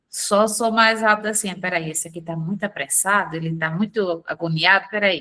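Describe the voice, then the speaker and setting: The woman's voice has a bright, sharp tone. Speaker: sales affiliate. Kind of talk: online sales training call. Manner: calm.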